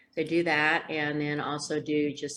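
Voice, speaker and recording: A woman with a very deep, low pitch speaks at a fairly slow pace in an American accent. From Indiana. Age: 60s. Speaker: speech therapist and financial professional. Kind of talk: interview. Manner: many filler ums.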